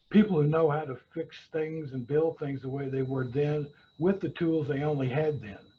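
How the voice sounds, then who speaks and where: A man with an American accent has a fairly high pitch and a somewhat breathy voice. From rural Kentucky, US South. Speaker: woodworker and carpentry teacher. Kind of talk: webinar talk. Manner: many fillers and hesitations.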